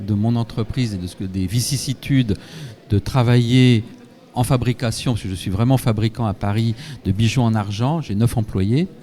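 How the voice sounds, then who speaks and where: A man with a plain, everyday voice, medium in pitch with ordinary variation, at a fairly slow pace. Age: 60s. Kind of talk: live event interview.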